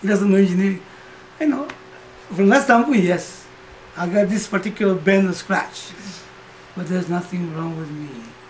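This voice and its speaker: A man speaks in a high pitch, leaving long, frequent pauses. Noticeable background noise runs under his voice. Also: ordinary pitch variation, moderate pace, big swings in loudness. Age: 60s. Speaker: Vedanta teacher. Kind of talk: spiritual talk. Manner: conversational.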